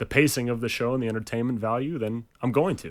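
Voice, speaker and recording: On a very clean recording with a silent background, a man with a medium pitch speaks in an unremarkable speaking voice with fairly even intonation. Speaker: ring announcer. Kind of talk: radio studio interview answer. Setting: radio studio.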